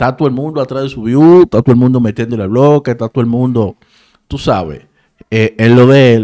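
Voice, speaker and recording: Against a quiet background, a man with a medium pitch, ordinary pitch variation and a dark, mellow tone is speaking. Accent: Dominican. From Dominican Republic, San Cristóbal; Dominican Republic. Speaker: entertainment news YouTuber. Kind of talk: casual commentary. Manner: animated. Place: home room. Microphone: studio mic.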